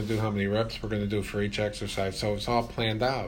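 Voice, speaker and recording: A man with a fairly low pitch talks at a very fast pace in a flat monotone. Noticeable background noise and audible room echo surround him. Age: old. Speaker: fitness trainer and podcast co-host. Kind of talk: casual chat.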